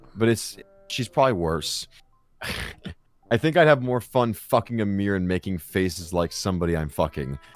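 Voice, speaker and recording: Music plays in the background as a man with a fairly low pitch talks at a moderate pace. His intonation is lively, and he leaves long, frequent pauses. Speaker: youtuber. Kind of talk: casual chat, comedic storytelling.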